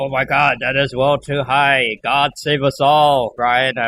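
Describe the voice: A man uses a put-on character voice at medium pitch, speaking at a fairly slow pace with monotone, flat intonation.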